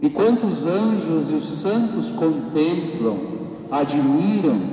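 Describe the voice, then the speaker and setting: A man speaks in a solemn tone at a fairly high pitch, his pitch swinging very widely. Noticeable background noise sits behind him. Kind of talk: sermon. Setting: church. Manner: formal, solemn, measured pastoral delivery.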